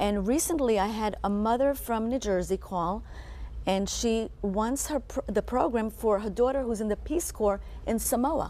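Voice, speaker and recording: A woman speaks with an Israeli accent. Her pitch is fairly high and her pace moderate. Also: ordinary pitch variation. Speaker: co-director of a children's reading program. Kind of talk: TV interview.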